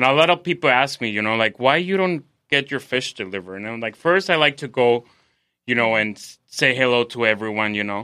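Over a quiet background, a man with a Spanish accent speaks very fast at a medium pitch, with a bright, sharp tone and big swings in loudness. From Mexico City, Mexico. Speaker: chef. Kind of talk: casual interview. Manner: halting, many fillers.

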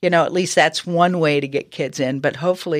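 A woman's fairly quick delivery with fairly even intonation. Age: 60s. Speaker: professional golfer. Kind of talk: casual chat.

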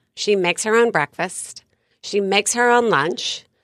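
This woman has a normal speaking voice at a medium pitch. The sound is dry and close, with no echo. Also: very clean recording, silent background. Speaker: life coach. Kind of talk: casual interview chat.

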